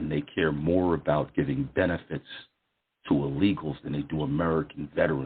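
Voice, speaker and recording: The speaker is a man with a very deep, low pitch. He talks at a fairly quick pace. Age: 60s. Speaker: podcast host. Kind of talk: political talk show interview.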